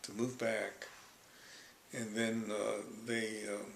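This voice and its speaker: Speaking at a fairly slow pace with an American accent, a man of medium pitch is heard with audible room echo. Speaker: Japanese American elder interviewed about his life. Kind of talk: life story interview. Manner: halting.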